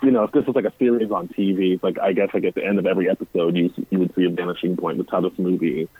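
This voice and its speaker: A plain, everyday voice from a man, fairly low in pitch, with ordinary pitch variation. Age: 30s. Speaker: guest. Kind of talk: casual chat. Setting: phone call.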